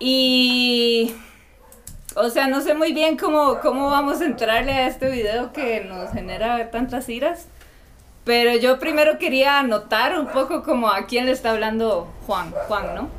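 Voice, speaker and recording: A woman with a Costa Rican accent speaks at a high pitch and a fairly slow pace, with ordinary pitch variation and noticeable background noise. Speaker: graduate student. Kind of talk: casual chat.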